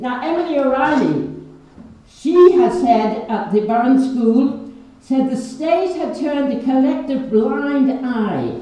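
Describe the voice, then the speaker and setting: Over noticeable background noise, a woman talks with a high pitch. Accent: Irish. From Ireland. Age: 80s+. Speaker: peace activist, playwright. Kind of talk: public speech at a meeting.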